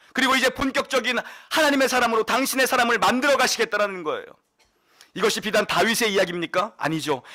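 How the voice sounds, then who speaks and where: A man projects a raised voice at an extremely high pitch, bright and sharp in tone, with lively intonation and a very fast pace, on a very clean recording with a silent background. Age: young. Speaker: pastor. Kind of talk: sermon.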